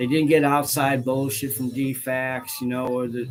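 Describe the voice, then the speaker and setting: Noticeable background noise sits behind this man. His medium-pitched voice has fairly even intonation. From US Midwest, northern Illinois. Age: 60s. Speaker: religious leader. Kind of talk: casual monologue. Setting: studio. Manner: many fillers (um, okay, right).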